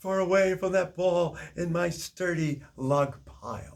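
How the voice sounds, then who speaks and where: A man's put-on character voice, high-pitched and at a fairly slow pace. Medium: read story.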